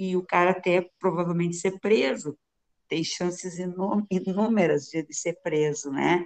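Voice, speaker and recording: A woman speaks at a very slow pace in a fairly low voice. Her intonation is fairly even. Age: 60s. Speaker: police officer and psychologist. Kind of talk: interview.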